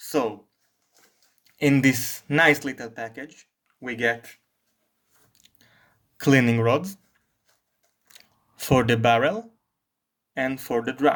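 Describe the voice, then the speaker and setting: A man with a medium-pitched voice and a non-native accent speaks at a very slow pace, with long, frequent pauses. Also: ordinary pitch variation. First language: not English. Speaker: firearms hobbyist reviewer. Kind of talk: product review talk to camera.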